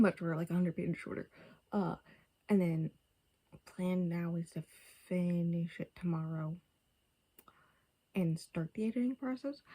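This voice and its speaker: Somewhat breathy and dark, mellow in tone, a woman speaks with long, frequent pauses. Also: ordinary pitch variation, moderate pace. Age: 20s. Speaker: book vlogger. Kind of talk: casual chat. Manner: casual, filler-heavy.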